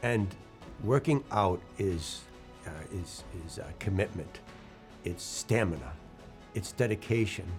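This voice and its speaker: With music in the background, a man speaks at a very slow pace with long, frequent pauses. His pitch is fairly low and his intonation lively. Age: 60s. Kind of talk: inspirational talk to camera.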